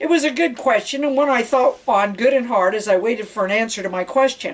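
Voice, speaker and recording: Putting on a raspy character voice, a woman speaks at a fairly quick pace with a high pitch and ordinary pitch variation. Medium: read story. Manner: casual, profane, deadpan.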